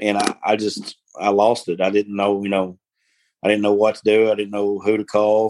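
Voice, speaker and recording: In an Arkansas accent, a man speaks at a moderate pace and fairly low pitch, the sound dry and close with no echo. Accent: US Southern (Arkansas). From northeast Arkansas. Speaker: farm worker, former oil field worker. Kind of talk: interview testimony.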